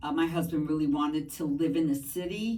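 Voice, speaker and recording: Speaking with a Spanish accent, a woman has a very deep, low pitch. Her tone is dark and mellow. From New York, Brooklyn. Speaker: math teacher. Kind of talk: podcast interview. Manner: hesitant, many fillers.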